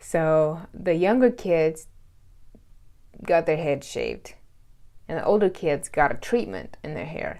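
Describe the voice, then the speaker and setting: A woman speaks in a Russian accent. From Russia, then US South. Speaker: vlogger. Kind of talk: storytime vlog. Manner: casual, chatty.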